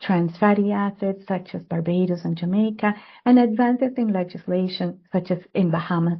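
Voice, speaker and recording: A woman with a medium pitch sounds somewhat breathy. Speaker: public health adviser. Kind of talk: webinar presentation. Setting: online webinar.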